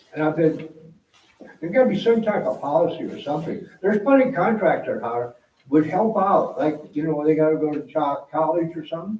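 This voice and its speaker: Room echo is audible as a man speaks at a moderate pace. His pitch is high and swings very widely. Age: 70s. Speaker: resident speaking at council meeting. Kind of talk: public comment at city council meeting. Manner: halting, repetitive.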